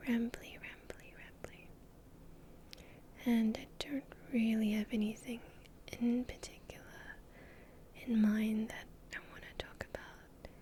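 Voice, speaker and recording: Whispering comes at a fairly slow pace, broken by long, frequent pauses. Background noise is noticeable. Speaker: VTuber. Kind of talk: ASMR rambling talk. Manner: soft-spoken.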